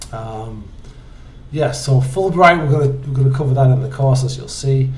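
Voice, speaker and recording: Audible room echo surrounds a man speaking at a moderate pace with a fairly high pitch and monotone, flat intonation. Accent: English. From northeast England, Hartlepool. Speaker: university instructor. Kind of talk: course introduction video. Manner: halting, many fillers.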